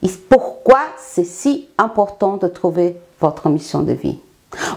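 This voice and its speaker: Slowly, very slowly, a woman speaks in a dark, mellow tone. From Brazil. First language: Portuguese (speaking French). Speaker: life coach. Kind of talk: self-presentation monologue.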